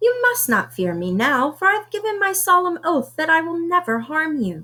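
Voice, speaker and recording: Doing a put-on character voice, a woman squeaks at an extremely high pitch and a moderate pace. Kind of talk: bedtime story. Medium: read story.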